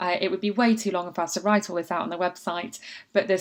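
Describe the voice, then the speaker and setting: A woman speaks in an ordinary speaking voice at a medium pitch. Her intonation is fairly even. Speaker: book marketing consultant. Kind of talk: tutorial.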